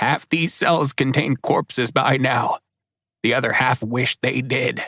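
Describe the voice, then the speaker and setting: Using a raspy, put-on character voice, a man speaks at a medium pitch and a fairly slow pace. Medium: read story. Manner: matter-of-fact, blunt.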